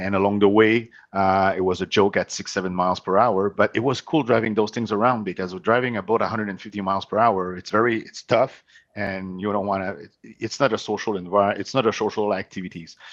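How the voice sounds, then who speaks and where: A man with a French Canadian accent talks at a fairly quick pace with hardly any pauses, at a fairly low pitch. His intonation stays fairly even while his loudness swings widely. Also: quiet background. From Quebec, Montreal. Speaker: company CEO. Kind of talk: podcast interview. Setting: remote call from home.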